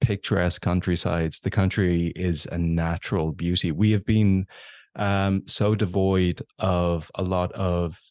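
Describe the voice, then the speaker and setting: Speaking in an Irish accent at a fairly slow pace, the voice is monotone and flat, with a dry, close sound with no echo and a quiet background. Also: man, very deep, low pitch for a man. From Ireland. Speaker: actor and content creator. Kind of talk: podcast interview.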